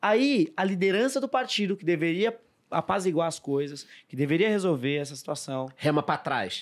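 At a moderate pace, the voice makes very wide pitch swings and big swings in loudness in a very clean recording with a silent background. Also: man, high pitch for a man. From interior of São Paulo state, Brazil. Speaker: economist and politician. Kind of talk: casual podcast discussion. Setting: studio.

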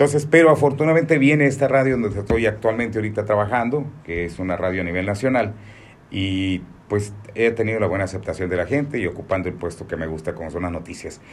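Lively intonation carries a man's fairly low voice. He talks at a very fast pace. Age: 60s. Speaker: radio announcer. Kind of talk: interview.

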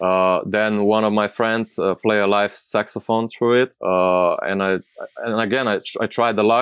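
The speaker has a Slovenian accent and moves at a moderate pace. Intonation stays monotone and flat. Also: man. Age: 30s. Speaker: DJ, producer and label owner. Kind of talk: casual interview. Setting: live stream video call. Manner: halting.

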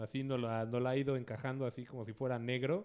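At a fairly quick pace, a man speaks with a Mexican accent at a medium pitch. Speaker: radio show host. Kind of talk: casual chat.

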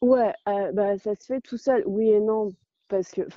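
Medium pitch for a woman, with ordinary variation in her pitch. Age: 20s. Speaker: traveller. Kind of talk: interview.

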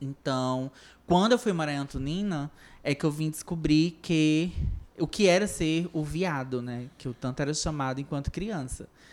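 At a moderate pace, a woman with a very deep, low pitch speaks with ordinary pitch variation in a very clean recording with a silent background. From Ceará, Brazil (Centro-Sul, rural). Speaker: actress, singer and LGBT activist. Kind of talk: podcast interview.

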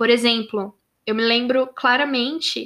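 Fairly slow, monotone, flat speech from a woman with a bright, sharp tone. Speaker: podcast host. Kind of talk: monologue.

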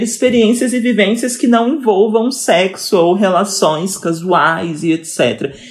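A woman uses an ordinary speaking voice, moving at a fairly slow pace and with ordinary pitch variation. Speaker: communicator and historian. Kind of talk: casual chat.

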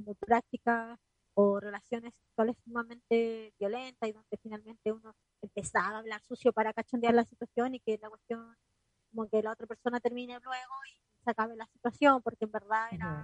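Talking at a fairly quick pace in a Chilean accent, a woman has a fairly high pitch and monotone, flat intonation, with big swings in loudness and a dry, close sound with no echo. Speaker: radio podcast co-host. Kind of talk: casual chat. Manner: talkative.

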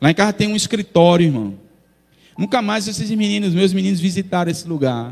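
Using a high pitch and ordinary pitch variation, a man speaks at a fairly quick pace. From Brazil, not Bahia. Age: 40s. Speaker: pastor. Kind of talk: sermon. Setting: church.

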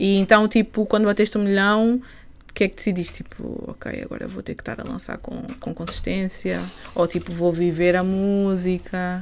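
A woman with an unremarkable speaking voice talks at a medium pitch with fairly even intonation and big swings in loudness. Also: moderate pace. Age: 20s. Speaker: podcast host. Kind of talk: casual interview.

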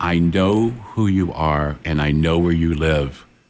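A man puts on a character voice with a very deep, low pitch and a guttural sound. He speaks at a fairly slow pace. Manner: menacing.

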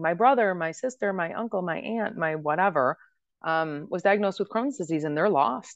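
Using an ordinary speaking voice, a woman talks in a fairly low pitch with lively intonation. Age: 40s. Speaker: wellness entrepreneur and author. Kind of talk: interview.

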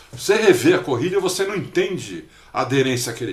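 Against noticeable background noise and audible room echo, a man speaks at a fairly quick pace. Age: 50s. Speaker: motorsport podcast co-host. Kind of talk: casual chat.

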